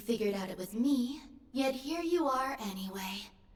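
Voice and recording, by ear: A woman puts on a robotic character voice at a high pitch. She speaks at a moderate pace.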